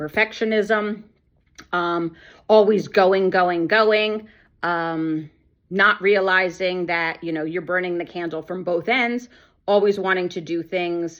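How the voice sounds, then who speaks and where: A woman's medium pitch shows ordinary variation as she talks at a moderate pace. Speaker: ADHD coach. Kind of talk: personal testimony. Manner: loud.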